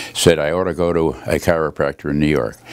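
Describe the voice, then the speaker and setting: A man with a very deep, low voice talks at a moderate pace over noticeable background noise. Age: 80s+. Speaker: chiropractic patient. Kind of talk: testimonial. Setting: chiropractor's office. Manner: halting.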